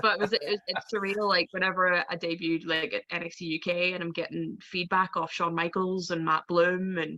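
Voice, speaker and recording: At a moderate pace, a woman with a medium pitch speaks in a flat monotone. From Northern Ireland, Belfast. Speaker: professional wrestler. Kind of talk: interview.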